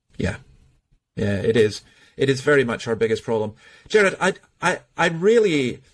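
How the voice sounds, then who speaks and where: A man in a Scottish accent at medium pitch, very wide pitch swings, moderate pace with long, frequent pauses, on a very clean recording with a silent background. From Scotland. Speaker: podcast host, church minister. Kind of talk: interview conversation.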